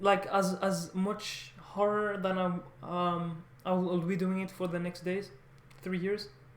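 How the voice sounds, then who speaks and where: At a fairly slow pace, a woman speaks at medium pitch. The recording has audible room echo and noticeable background noise. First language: French. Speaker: language learner vlogger. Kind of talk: casual vlog monologue. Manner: halting, many false starts.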